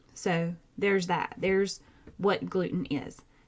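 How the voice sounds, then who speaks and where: This woman speaks fairly slowly in a Southern US accent, her pitch fairly low, on a very clean recording with a silent background. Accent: Southern twang. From Georgia, US South. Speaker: podcast host, nurse practitioner. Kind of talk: casual educational podcast talk. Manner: animated.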